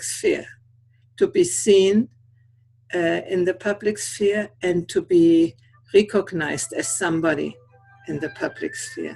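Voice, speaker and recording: A woman's very slow speech with a non-native accent, fairly low pitch, ordinary pitch variation and vocal fry. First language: not English. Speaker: conference speaker. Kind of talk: talk rehearsal on integral theory. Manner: halting, searching for words.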